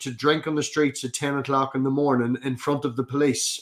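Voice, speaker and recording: Music plays behind a man speaking at a moderate pace. He has a fairly high pitch and a Northern Irish accent. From Northern Ireland. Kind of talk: casual chat. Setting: live stream.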